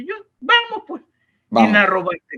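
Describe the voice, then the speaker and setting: A man speaks in a raised, projected voice with a high pitch. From Ecuador. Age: 80s+. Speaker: sports journalist and commentator. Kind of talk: interview answer.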